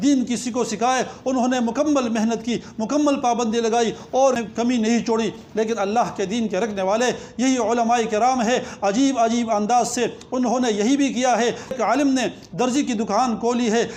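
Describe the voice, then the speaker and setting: This man's pitch is extremely high, his intonation fairly even and his loudness very even. Noticeable background noise runs beneath him. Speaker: Islamic scholar giving a sermon. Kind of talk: Islamic lecture (bayan), passionate sermon. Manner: fervent, rhythmic, emphatic.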